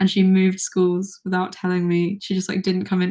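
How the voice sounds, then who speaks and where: Quiet and somewhat breathy, a woman speaks with a dark, mellow tone. She has a British accent and a fairly quick pace. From Britain. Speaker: YouTuber. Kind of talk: livestream Q&A. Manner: halting.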